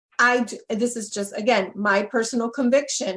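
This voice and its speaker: Somewhat breathy, a woman with a Spanish accent speaks at a fairly quick pace. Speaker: relationship coach. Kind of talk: live webinar interview. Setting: Facebook Live webinar.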